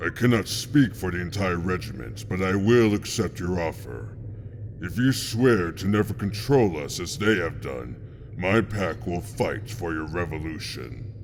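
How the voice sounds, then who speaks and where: In a put-on character voice, a man talks at a moderate pace with a very deep, low pitch over clear background noise. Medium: audio drama. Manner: predatory, mocking.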